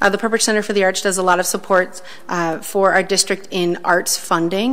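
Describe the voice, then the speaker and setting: Fairly even intonation from a woman, delivered at a moderate tempo. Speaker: school board member. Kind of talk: committee report at public meeting. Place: meeting room. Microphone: podium.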